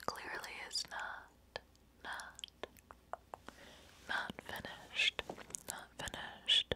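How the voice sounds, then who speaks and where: A woman whispers at a very slow pace, leaving long, frequent pauses. Her loudness swings widely. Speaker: ASMR content creator. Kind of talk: ASMR whisper ramble. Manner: whispered, soft-spoken. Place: home room. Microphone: studio mic.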